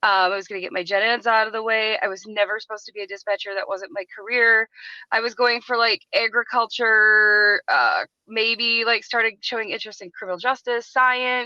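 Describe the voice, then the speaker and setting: Using an American accent, a woman speaks at a fairly quick pace. Her pitch is fairly high, with ordinary pitch variation. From US Upper Midwest (southeast Minnesota). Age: 40s. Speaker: retired emergency dispatcher. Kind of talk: casual podcast interview. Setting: remote call. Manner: animated, filler-heavy.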